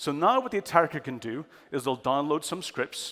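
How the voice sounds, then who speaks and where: With a strong Irish accent, a man talks at a fairly high pitch that varies in an ordinary way. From Ireland. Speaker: cyber security expert. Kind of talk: conference talk. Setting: stage with audience.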